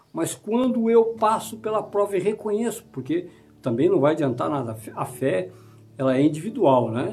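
Moderate-paced speech with music in the background. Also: man. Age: 50s. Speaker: pastor. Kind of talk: sermon.

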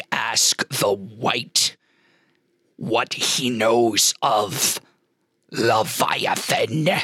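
A man's put-on, growling character voice at a medium pitch, very slow, with long, frequent pauses. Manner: menacing.

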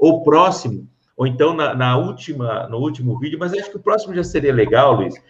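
A somewhat breathy, fairly high male voice with lively intonation. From Brazil, São Paulo interior (Pirassununga). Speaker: podcast host, former police officer. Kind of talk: interview.

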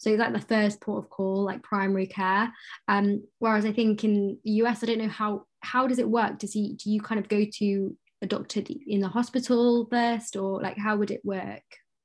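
A woman's fairly high, somewhat breathy voice at a moderate pace with monotone, flat intonation. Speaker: podcast host. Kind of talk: casual interview chat.

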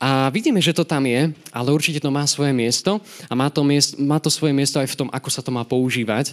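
A man talks at a very fast pace, his fairly high pitch varying in an ordinary way. The recording is very clean, the background silent. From Slovakia, Nové Zámky. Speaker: lay preacher. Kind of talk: sermon.

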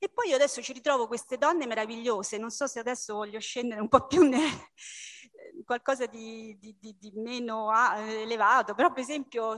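A woman in an ordinary speaking voice talks at a fairly quick pace with a fairly high pitch, ordinary pitch variation and big swings in loudness. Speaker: book club member. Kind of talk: book club discussion.

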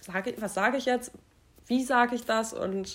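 The voice belongs to a woman. She keeps her intonation fairly even throughout. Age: 20s. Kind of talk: casual chat.

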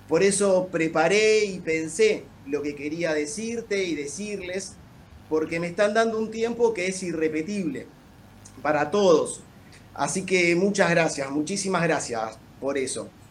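A man in a Rioplatense accent, high-pitched, at a fairly slow pace with ordinary pitch variation. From La Plata, Buenos Aires province. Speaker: lawyer. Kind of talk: casual chat with formal questions.

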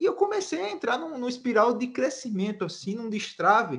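A man talks with very wide swings in pitch. The background is quiet. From Brazil, Alagoas (Northeast). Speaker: marketing mentor and entrepreneur. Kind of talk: interview conversation.

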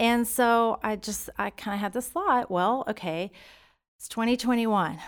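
In a very clean recording with a silent background, a woman with a Texan accent speaks fairly slowly at a fairly high pitch, with big swings in loudness. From Texas, Stephenville. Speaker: school parent volunteer. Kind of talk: interview.

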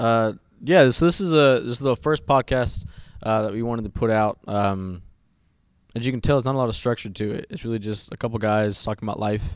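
A man with an American accent speaks at a fairly quick pace in a medium pitch, with ordinary pitch variation and an unremarkable speaking voice, on a very clean recording with a silent background. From US South. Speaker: podcast host. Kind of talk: casual chat.

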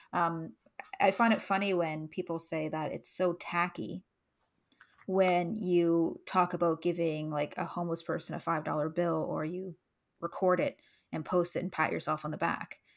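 In a very clean recording with a silent background, a woman with a Canadian accent speaks at a moderate pace in an unremarkable speaking voice, fairly low in pitch with fairly even intonation. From Canada. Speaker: podcast co-host. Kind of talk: casual chat.

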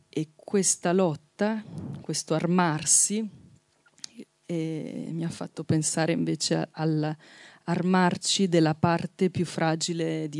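A woman's fairly low, flat, monotone voice at a very slow pace, with long, frequent pauses and a dry, close sound with no echo. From Marche, Italy. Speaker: poet. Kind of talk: book presentation talk. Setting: outdoor festival with audience.

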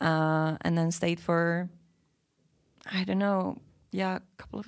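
A woman with a Dutch accent speaks at a fairly low pitch. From Belgium, Antwerp. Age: 30s. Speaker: podcast guest. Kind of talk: casual chat.

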